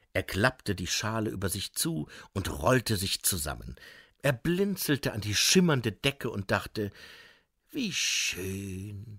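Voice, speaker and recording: A man's very slow, gentle and soothing voice with vocal fry and very wide pitch swings, dry and close with no echo, on a very clean recording with a silent background. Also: fairly low pitch for a man. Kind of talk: audiobook narration of a children's fantasy story. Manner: gentle storyteller's cadence, slow and soothing, with playful character voices.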